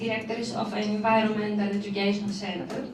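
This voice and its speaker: A woman with a non-native accent, amid noticeable background noise and audible room echo. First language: not English. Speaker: teacher and PhD researcher. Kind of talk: conference presentation. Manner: slow, deliberate; halting, many fillers.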